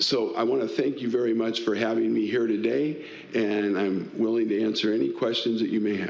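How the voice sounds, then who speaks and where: In an American accent, a man speaks fairly quickly at a medium pitch with vocal fry, ordinary pitch variation and very even loudness, in a room with audible echo. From Tacoma, Washington, US Pacific Northwest. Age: 60s. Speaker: political candidate, community volunteer. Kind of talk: candidate forum opening statement.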